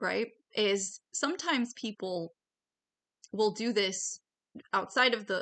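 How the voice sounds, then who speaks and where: Over a quiet background, a woman speaks in a bright, sharp tone with ordinary pitch variation. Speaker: online educator on security threats. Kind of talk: casual monologue. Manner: halting, stuttering.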